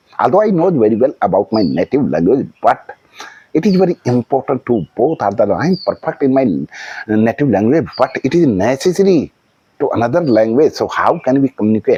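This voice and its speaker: With an Indian accent, a man speaks at a medium pitch with very wide pitch swings and a dark, mellow tone, in a dry, close sound with no echo. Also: very even loudness. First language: Hindi. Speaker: vlogger practicing English. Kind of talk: casual monologue. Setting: outdoors on a house terrace. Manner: halting, with fillers.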